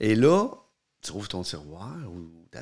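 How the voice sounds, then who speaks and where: A man with a Quebec accent speaks at a fairly low pitch with lively intonation. The recording is very clean, with a silent background. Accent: Québécois French. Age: 50s. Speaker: podcast co-host, father. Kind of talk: casual chat.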